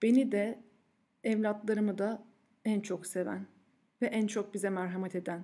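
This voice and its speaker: Fairly slow delivery pairs with a dark, mellow tone. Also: woman. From Turkey, Ankara. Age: 30s. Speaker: podcast host and food blogger. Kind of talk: personal monologue. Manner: frequent filler hesitations.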